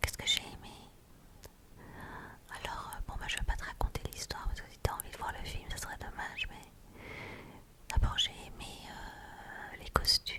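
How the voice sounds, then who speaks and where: Someone whispers with long, frequent pauses against noticeable background noise. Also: moderate pace. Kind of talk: ASMR casual chat. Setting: binaural microphone. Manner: whispered.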